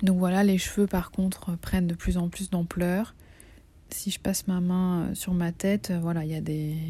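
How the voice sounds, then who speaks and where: The voice has a dark, mellow, somewhat breathy tone. It moves at a fairly slow pace with monotone, flat intonation. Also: woman, medium pitch for a woman. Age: 30s. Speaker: video diarist with breast cancer. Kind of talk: personal video diary.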